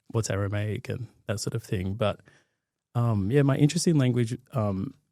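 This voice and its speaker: With an Australian accent, a man talks at a moderate pace in a dark, mellow tone of medium pitch with ordinary pitch variation. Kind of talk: interview. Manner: halting.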